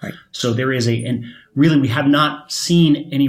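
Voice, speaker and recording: Audible room echo surrounds this voice. A man speaks with an American accent. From Michigan. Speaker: volatility fund manager. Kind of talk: panel discussion. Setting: studio at a conference. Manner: repeats words, halting.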